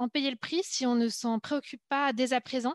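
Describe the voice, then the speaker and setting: A woman with high pitch at a moderate pace, in a dry, close sound with no echo against a quiet background. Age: 30s. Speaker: speech therapist and political newcomer. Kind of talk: panel discussion.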